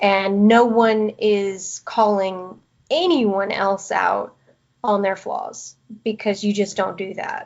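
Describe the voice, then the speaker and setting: A woman with a Southern US accent speaks very slowly at a medium pitch, her pitch rising and falling in an ordinary way. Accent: Southern American twang. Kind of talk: podcast interview answer.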